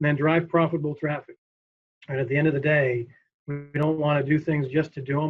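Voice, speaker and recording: A man talks at a fairly quick pace in a fairly high pitch. His voice is somewhat breathy. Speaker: marketing executive. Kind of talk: keynote presentation. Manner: fast; energetic.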